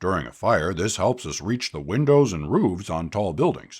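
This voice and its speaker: A put-on character voice from a man, very deep and low, with very wide pitch swings at a moderate pace, on a very clean recording with a silent background. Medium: read story. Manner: friendly, patient.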